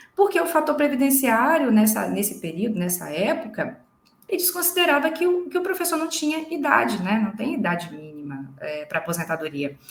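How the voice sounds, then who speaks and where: This woman's high-pitched voice moves through very wide pitch swings. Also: moderate pace. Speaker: lawyer. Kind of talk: live legal explainer. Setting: livestream.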